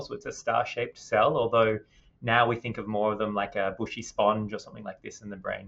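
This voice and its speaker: Moderate pace from a man with an Australian accent. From Western Australia. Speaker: neuroscientist. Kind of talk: interview.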